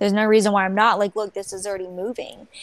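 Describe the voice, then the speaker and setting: The sound is dry with no echo. A woman talks at a very fast pace. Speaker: author and drunk-driving crash survivor; interview guest. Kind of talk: interview testimony. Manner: upbeat. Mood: determined, reflective. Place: home room.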